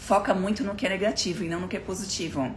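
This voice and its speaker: A woman at a fairly quick pace with fairly even intonation, audible room echo and noticeable background noise. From southern Brazil, Florianópolis. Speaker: motivational speaker. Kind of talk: live stream talk. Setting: live stream. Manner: fast.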